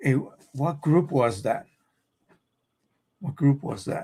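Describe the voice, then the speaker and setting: A man speaks with a fairly high pitch and ordinary pitch variation. His voice is somewhat breathy. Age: 70s. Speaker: photo printing tech streamer. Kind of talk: live stream chat. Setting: live stream at home. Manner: halting.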